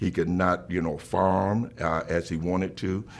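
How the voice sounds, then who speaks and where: In a South Carolina accent, a man with a very deep, low pitch talks at a moderate pace on a very clean recording with a silent background. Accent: Southern US (South Carolina). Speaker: bishop. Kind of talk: interview answer.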